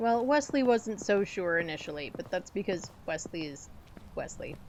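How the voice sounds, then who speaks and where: Lively intonation over noticeable background noise. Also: woman. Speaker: gaming streamer. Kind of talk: live gameplay stream chat. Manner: slow with weird pauses.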